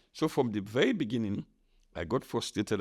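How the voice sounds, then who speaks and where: A man with a Sierra Leonean accent talks very fast at a medium pitch with lively intonation. The recording is very clean, with a silent background. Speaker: podcast host, veteran journalist. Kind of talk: casual interview chat.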